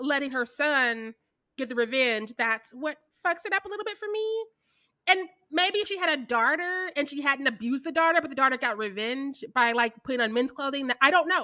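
A woman with an American accent speaks at a moderate pace in a high, bright, sharp voice, raised and projected, with lively intonation. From US Midwest, Kansas City, Missouri. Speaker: podcast co-host. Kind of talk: casual chat.

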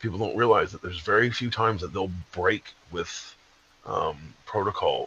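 A man talks at a moderate pace, and background noise is noticeable throughout. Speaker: guest. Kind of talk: casual chat.

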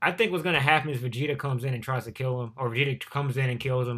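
Very fast speech comes from a man at medium pitch. His intonation stays fairly even on a very clean recording with a silent background. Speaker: YouTuber reacting to manga chapter. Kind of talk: casual reaction commentary. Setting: home recording, no face cam.

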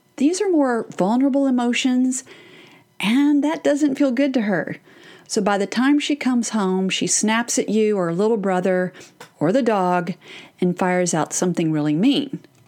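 Speaking at a moderate pace, a woman with a fairly high pitch makes very wide pitch swings while keeping her loudness very even. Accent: Texan. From Texas. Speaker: parenting podcast host and therapist. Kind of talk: solo podcast talk.

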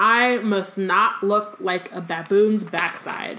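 Using a put-on character voice, a woman speaks very slowly at medium pitch, sounding strained. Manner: strained, concentrating, pained.

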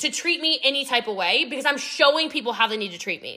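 A woman speaks in a raised, projected voice. Her tone is animated. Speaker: podcast host and network marketing mentor. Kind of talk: motivational training monologue. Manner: clear enunciation.

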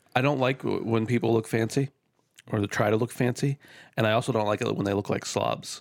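Very fast in pace, this man speaks at a medium pitch with vocal fry. His loudness stays very even and his intonation fairly even. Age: 30s. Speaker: podcast co-host. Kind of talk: casual chat.

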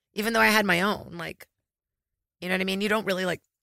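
On a very clean recording with a silent background, a woman talks at a very fast pace in a bright, sharp tone with vocal fry. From Brazil, raised in US South. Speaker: comedian. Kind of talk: casual chat.

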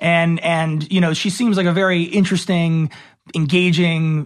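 With an American accent, a man speaks at a high pitch. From Los Angeles, US. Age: 20s. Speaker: actor and TV host. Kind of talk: casual chat.

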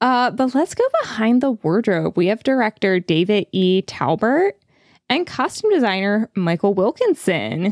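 A woman speaks in a plain, everyday voice, pitched fairly high, at a fairly slow pace with lively intonation. Her loudness stays very even, and the sound is dry and close with no echo against a quiet background. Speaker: podcast host. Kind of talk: casual chat.

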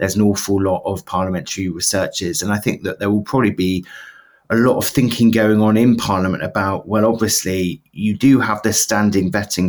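A man with a British accent, a fairly low pitch and a fairly quick pace. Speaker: political journalist. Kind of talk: casual chat.

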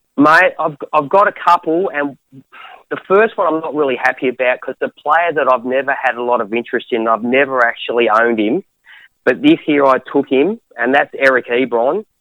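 With a bright, sharp tone, a man speaks at a fairly high pitch and a fairly quick pace, his intonation lively. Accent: Australian. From Australia. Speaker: caller. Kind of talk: casual chat. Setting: phone call.

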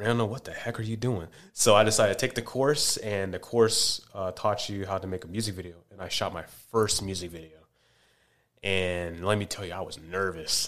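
A man with an ordinary speaking voice talks at a fairly quick pace in a fairly low pitch, his intonation fairly even and his loudness swinging widely. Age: 20s. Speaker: entrepreneur and filmmaker. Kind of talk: casual chat.

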